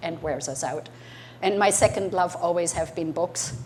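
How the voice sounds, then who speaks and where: Against noticeable background noise, a woman talks at a fairly quick pace with a fairly low pitch and fairly even intonation. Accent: German. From Germany. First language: German. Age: 60s. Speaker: entrepreneur. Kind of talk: talk to an audience.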